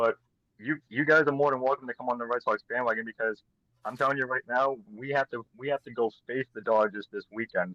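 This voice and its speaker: A man with an American accent speaks at a medium pitch and a fairly quick pace, with fairly even intonation and a bright, sharp tone. The sound is dry and close, with no echo. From Massachusetts. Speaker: baseball fan guest. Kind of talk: casual chat.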